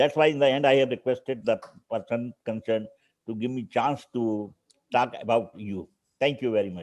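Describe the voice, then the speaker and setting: A man speaks with an Indian accent at a moderate pace and a medium pitch. His pitch varies in an ordinary way against a quiet background. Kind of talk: conference remarks. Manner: halting.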